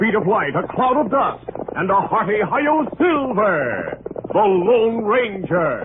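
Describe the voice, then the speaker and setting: A man's high-pitched voice at a fairly slow pace, with very wide pitch swings, very even loudness and noticeable background noise. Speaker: radio announcer. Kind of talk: old-time radio drama narration.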